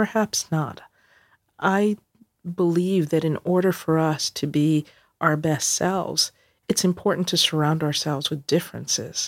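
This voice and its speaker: With a New York accent, a woman speaks at a fairly slow pace in a fairly low pitch, with ordinary pitch variation and long, frequent pauses, in a very clean recording with a silent background and a dry, close sound with no echo. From New York City (Queens). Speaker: corporate diversity executive. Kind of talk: interview conversation.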